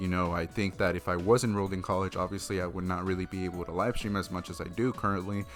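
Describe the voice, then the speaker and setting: A man talks at a very fast pace in a very deep, low pitch. Music plays in the background. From Mexico. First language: Spanish. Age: 20s. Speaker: gaming YouTuber and streamer. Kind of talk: casual Q&A vlog.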